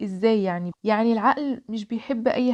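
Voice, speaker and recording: A woman's fairly high, dark and mellow voice with an Egyptian accent, ordinary pitch variation and a moderate pace, in a dry, close sound with no echo. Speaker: podcast host. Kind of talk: solo podcast monologue.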